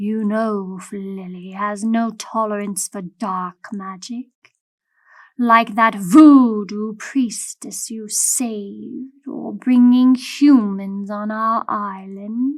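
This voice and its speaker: A put-on character voice, female-sounding, at a medium pitch for a woman and a very slow pace. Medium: read story. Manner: formal, measured.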